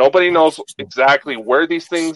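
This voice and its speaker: A plain, everyday voice moves at a fairly slow pace with ordinary pitch variation, in a dry, close sound with no echo. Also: man. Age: 20s. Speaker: podcast co-host. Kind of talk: casual chat.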